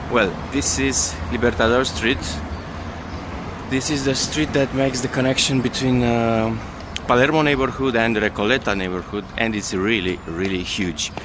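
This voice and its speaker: Over noticeable background noise, a man with a Romanian accent talks at a moderate pace, at a medium pitch and with ordinary pitch variation. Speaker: travel vlogger. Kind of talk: travel vlog narration. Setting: outdoors, walking in city. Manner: halting, many fillers.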